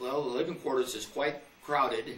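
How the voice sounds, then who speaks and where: There is audible room echo and noticeable background noise. Over it, a man speaks with an American accent. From US Midwest. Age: 80s+. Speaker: war veteran. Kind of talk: interview. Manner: halting.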